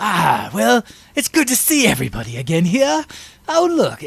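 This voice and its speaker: At a moderate pace, a gravelly, fairly high put-on character voice delivers its lines in a theatrical tone. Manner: jovial, theatrical.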